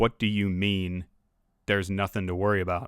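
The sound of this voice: Putting on a character voice, a man talks at a fairly quick pace with monotone, flat intonation. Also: fairly low pitch for a man.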